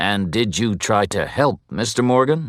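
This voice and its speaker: A man's put-on character voice, medium in pitch, with lively intonation at a moderate pace, on a very clean recording with a silent background. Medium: read story. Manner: formal, measured.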